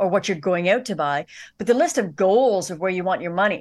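A woman speaks with a Canadian accent against a quiet background. Her pitch swings very widely. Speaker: personal finance expert. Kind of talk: interview.

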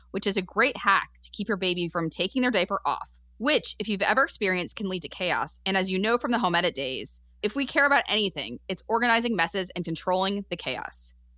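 A woman speaks at a fairly quick pace with a medium pitch, very wide pitch swings and a bright, sharp tone with vocal fry. The recording is very clean, with a silent background. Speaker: podcast co-host. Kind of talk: casual chat.

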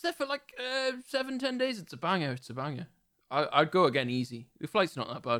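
A high-pitched man with a British accent, a bright, sharp tone, very wide pitch swings and a fairly quick pace. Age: 20s. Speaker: podcast co-host. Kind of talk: casual chat.

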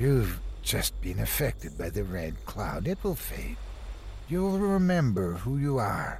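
Putting on a character voice, a man speaks slowly at a fairly low pitch, with big pitch swings.

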